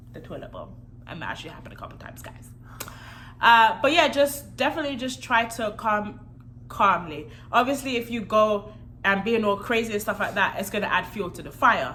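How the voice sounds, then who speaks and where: In a room with audible echo, a woman with a bright, sharp tone talks at a fairly quick pace, showing big swings in loudness and ordinary pitch variation. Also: fairly high pitch for a woman. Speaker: married vlogger. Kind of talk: casual chat. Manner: soft-spoken.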